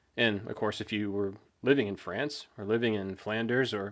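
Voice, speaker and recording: A man with an American accent speaks at a medium pitch with fairly even intonation, on a very clean recording with a silent background. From Texas. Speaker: history YouTuber. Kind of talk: casual lecture.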